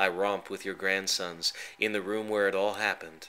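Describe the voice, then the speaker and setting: The voice has a bright, sharp tone that is also gentle, delivered at a moderate pace with monotone, flat intonation. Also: man. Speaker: poet. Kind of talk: spoken word poetry, reading a personal poem aloud to his late mother. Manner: tender, reflective, halting and emotional; gentle and wistful, with a touch of wry humor.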